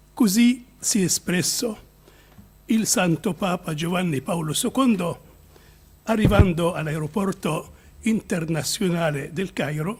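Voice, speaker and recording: At a very slow pace, a man talks in a high voice with ordinary pitch variation. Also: long, frequent pauses. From Egypt. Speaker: bishop. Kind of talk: conference speech. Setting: conference.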